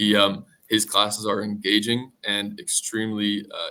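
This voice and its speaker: Someone speaks loudly in a bright, sharp tone with an American accent. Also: man. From US Northeast, Connecticut. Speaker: junior business analyst. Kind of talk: interview.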